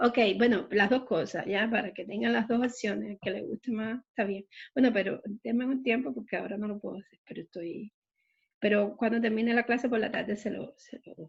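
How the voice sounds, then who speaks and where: A fairly high-pitched, somewhat breathy woman at a fairly quick pace, with ordinary pitch variation and big swings in loudness, in a dry, close sound with no echo and a quiet background. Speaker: math teacher. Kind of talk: online math lecture.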